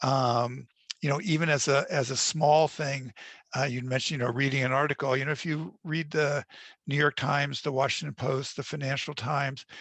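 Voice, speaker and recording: With an unremarkable speaking voice, a man talks at a fairly high pitch with fairly even intonation over a quiet background. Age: 60s. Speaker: author. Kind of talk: webinar Q&A.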